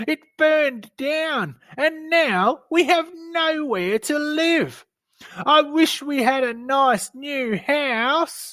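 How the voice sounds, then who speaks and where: A squeaky, put-on character voice moves along at a very slow pace. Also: female-sounding voice, high pitch for a woman. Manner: sad, pleading.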